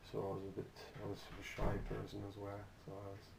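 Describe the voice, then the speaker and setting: The speaker talks at a moderate pace. There is a German accent. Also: man. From Germany. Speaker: interviewee. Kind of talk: interview. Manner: halting, with frequent repetitions.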